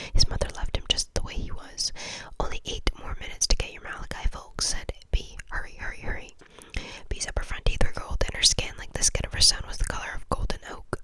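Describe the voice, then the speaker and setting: A woman whispers at a very fast pace, her loudness swinging widely, with noticeable background noise behind her. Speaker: ASMR content creator. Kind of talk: audiobook-style reading.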